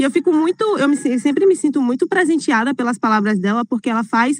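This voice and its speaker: A woman's high-pitched voice in a dry, close recording with no echo. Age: 20s. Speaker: city councillor and activist. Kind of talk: talk at an online event. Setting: online live stream.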